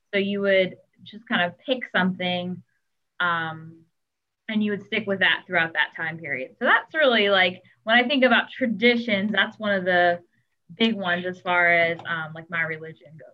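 A normal speaking voice from a woman at a moderate pace, medium in pitch with ordinary pitch variation and big swings in loudness. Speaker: teacher. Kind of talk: casual chat.

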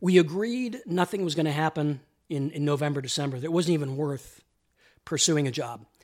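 The speaker has a plain, everyday voice with ordinary pitch variation and a fairly quick pace. The recording is very clean, with a silent background. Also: man, fairly high pitch for a man. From Canada. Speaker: entertainment journalist. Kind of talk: casual interview. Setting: host's apartment.

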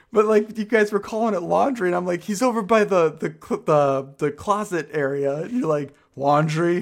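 Talking at a moderate pace with hardly any pauses, a man uses a high pitch and lively intonation. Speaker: podcast co-host. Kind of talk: casual chat between friends. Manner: stutters at times.

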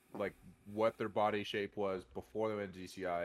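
A man with an American accent speaks at a fairly quick pace. His pitch is very deep and low. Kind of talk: casual chat.

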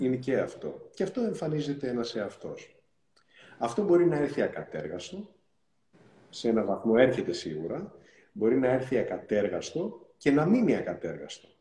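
This man speaks at a moderate pace and a medium pitch, his dark, mellow tone carrying vocal fry and very wide pitch swings. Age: 50s. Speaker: NLP coach. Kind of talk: interview. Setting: Instagram live video call.

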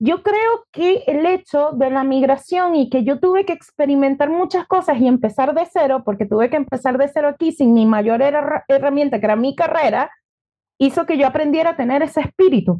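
A woman with a Venezuelan accent talks at a moderate pace in a high voice, her intonation lively and her loudness very even. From Venezuela, Margarita Island. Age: 30s. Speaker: entrepreneur and former lawyer. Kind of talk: interview.

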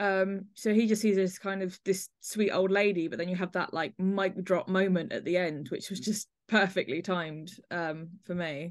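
Against a quiet background, a woman speaks in a plain, everyday voice. Her pitch is medium, her intonation fairly even and her pace moderate. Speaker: podcast host. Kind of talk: casual chat.

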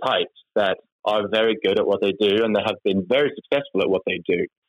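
With a Norwegian accent, a man speaks at a fairly quick pace. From Norway. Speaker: tech company executive. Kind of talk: interview. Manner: halting.

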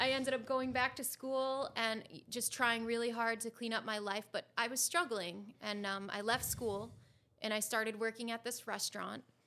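A woman speaks at a moderate pace in a plain, everyday voice, her intonation fairly even. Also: fairly high pitch for a woman. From Connecticut, US. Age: 30s. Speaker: guest sharing recovery story. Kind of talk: personal interview, testimony.

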